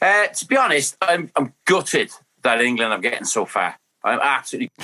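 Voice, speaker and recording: A man with an Irish accent at a fairly quick pace, with a dry, close sound with no echo. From Ireland. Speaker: former footballer. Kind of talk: casual chat. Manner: animated.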